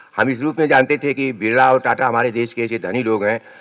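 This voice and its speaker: With vocal fry, a man speaks at a moderate pace and shows ordinary pitch variation. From Uttar Pradesh, Sultanpur. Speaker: poet. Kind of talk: public speech.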